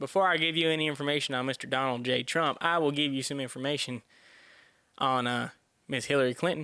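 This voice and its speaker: A man rattles along at a very fast pace, his fairly high pitch held in fairly even intonation. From US South. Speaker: podcast host. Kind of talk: monologue podcast.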